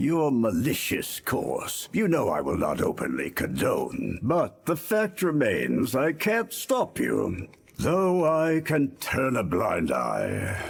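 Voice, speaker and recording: This man is doing a put-on character voice. His delivery is very slow. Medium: fan dub. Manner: grave, measured.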